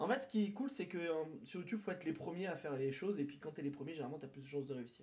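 A man's fairly high-pitched voice, very fast and lively in intonation, over noticeable background noise. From southern France, near Toulouse. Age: 30s. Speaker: streamer. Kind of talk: casual chat. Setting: live stream from his apartment.

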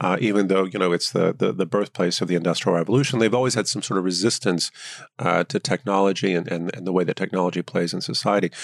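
Very fast and very deep, a man with an American accent speaks on a very clean recording with a silent background and a dry, close sound with no echo. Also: ordinary pitch variation. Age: 50s. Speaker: professor of politics. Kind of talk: interview. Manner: halting, many fillers.

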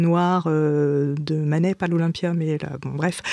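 A woman speaks at a very slow pace with fairly even intonation. The sound is dry and close with no echo, and the recording is very clean with a silent background. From France, Brittany and Vietnamese family. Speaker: theatre writer and director. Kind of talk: interview. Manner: hesitant, repeats words.

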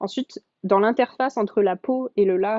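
A woman speaks with ordinary pitch variation. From France, Alps near Évian. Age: 20s. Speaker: marine biology PhD student. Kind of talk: interview. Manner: hesitant with fillers.

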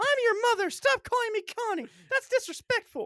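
A female-sounding voice uses a put-on character voice, squeaky and extremely high-pitched. The pace is fairly quick. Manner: stern, scolding.

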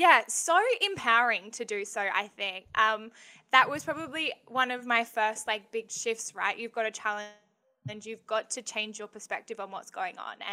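An Australian-accented woman speaks at a moderate pace in a bright, sharp tone, fairly high in pitch, with ordinary pitch variation and big swings in loudness. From Western Australia (Bunbury). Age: 20s. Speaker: young app founder. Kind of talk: casual interview. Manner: animated.

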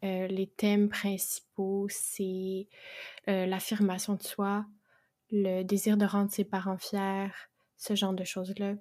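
In a Quebec accent, a woman speaks very slowly with long, frequent pauses, monotone, flat intonation and a dark, mellow tone. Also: medium pitch for a woman. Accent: Québécois French. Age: 20s. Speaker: aspiring fantasy novelist and bookseller. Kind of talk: casual interview chat.

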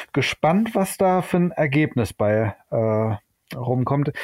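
Recorded very cleanly against a silent background, a man speaks at a very slow pace in a dark, mellow tone with lively intonation. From Germany, Hamburg / Düsseldorf area. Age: 40s. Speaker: photographer, trained master painter. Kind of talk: casual chat. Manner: halting, many filler sounds.

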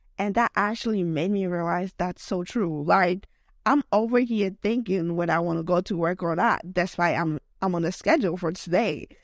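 A woman speaks at a moderate pace with a non-native accent and a medium pitch. The sound is dry and close, with no echo. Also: ordinary pitch variation. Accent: non-US foreign accent in English. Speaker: podcast host. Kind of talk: casual solo monologue. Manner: rambling, filler-heavy with many likes; laughs often.

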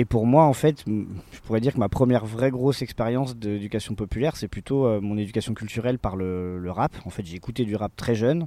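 A man talks at a fairly quick pace in a medium pitch with a dark, mellow tone and ordinary pitch variation, on a very clean recording with a silent background and a dry, close sound with no echo. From France, Besançon. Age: 30s. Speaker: popular education trainer. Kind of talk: interview. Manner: halting, with repeated fillers.

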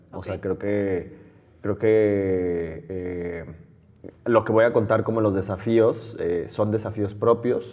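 A man with a fairly low voice talks very slowly, keeping his intonation fairly even. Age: 30s. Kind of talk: interview.

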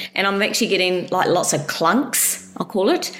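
Over noticeable background noise and audible room echo, a woman speaks at a moderate pace and medium pitch with ordinary pitch variation. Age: 50s. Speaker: coaching client. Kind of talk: personal testimony in a coaching call. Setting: call with the coach. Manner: halting, with frequent fillers and restarts.

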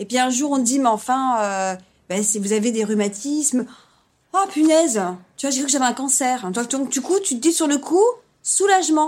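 On a very clean recording with a silent background, a woman with a high pitch speaks at a moderate pace, her intonation lively and her pauses long and frequent. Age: 40s. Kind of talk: casual interview. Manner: hesitant, with laughs.

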